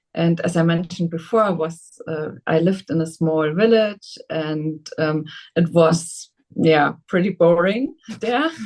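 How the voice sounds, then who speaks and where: At a very slow pace, a woman with a German accent speaks at a fairly low pitch with ordinary pitch variation. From Germany, Saarland. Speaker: politician. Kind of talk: interview. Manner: halting.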